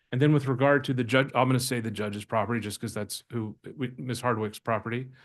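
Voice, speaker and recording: A man's medium-pitched voice with an American accent and fairly even intonation, against a quiet background. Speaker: attorney representing applicants. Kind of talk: public hearing presentation. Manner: fast.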